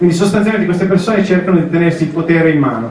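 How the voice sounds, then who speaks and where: Through noticeable background noise, a man speaks at a very fast pace with ordinary pitch variation. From northern Italy, Cusano Milanino near Milan. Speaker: member of parliament. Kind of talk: public speech at town square meeting. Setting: outdoor public square with audience.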